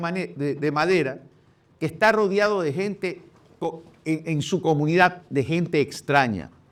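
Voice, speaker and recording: The man's voice is high. It shows ordinary pitch variation. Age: 60s. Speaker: presidential candidate. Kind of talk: interview.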